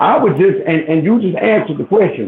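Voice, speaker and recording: Lively intonation marks this man's high-pitched voice. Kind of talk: casual chat. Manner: fast; halting.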